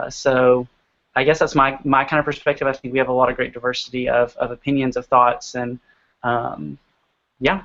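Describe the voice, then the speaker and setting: This is a man with a plain, everyday voice, pitched at a medium level. His intonation is fairly even and his pace fairly quick. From US South, Georgia. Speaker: graduate student. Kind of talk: casual chat.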